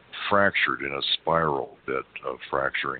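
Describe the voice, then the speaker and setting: A man with an American accent, very deep and low in pitch, at a fairly slow pace, with noticeable background noise. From US South. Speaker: energy healer. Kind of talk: interview. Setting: phone call.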